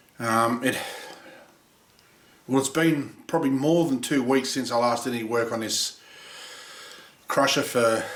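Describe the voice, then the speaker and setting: A man at a fairly slow pace, long, frequent pauses, audible room echo all around. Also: medium pitch for a man, fairly even intonation. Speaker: machinist building a machine. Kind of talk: workshop vlog. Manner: halting.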